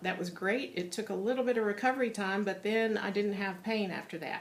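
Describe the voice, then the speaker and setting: Audible room echo surrounds a woman's voice. Her pitch is medium and her intonation fairly even. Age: 60s. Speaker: patient giving testimonial. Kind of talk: testimony. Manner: hesitant, many fillers.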